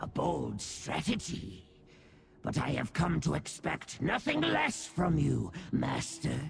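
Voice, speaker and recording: A man uses a put-on character voice at a very slow pace. Clear background noise can be heard. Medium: video game. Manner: obsequious, theatrical.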